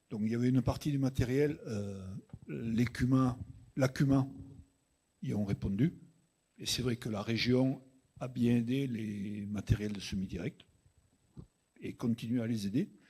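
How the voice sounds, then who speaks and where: A man with a dark, mellow tone speaks at medium pitch and a fairly slow pace. He uses ordinary pitch variation and leaves long, frequent pauses. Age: 60s. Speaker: farmer. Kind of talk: panel Q&A answer.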